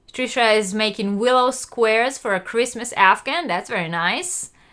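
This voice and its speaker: Bright, sharp tone from a woman with a non-native accent, fairly high in pitch, lively in intonation, at a moderate pace. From Israel. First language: not English. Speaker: crochet youtuber. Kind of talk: live stream chat. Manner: hesitant, many fillers.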